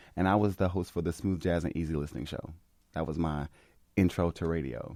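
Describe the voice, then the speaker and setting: With a dark, mellow tone and a very deep, low pitch, a man speaks at a fairly quick pace on a very clean recording with a silent background. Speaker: podcast host. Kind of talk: casual chat. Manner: bright, upbeat.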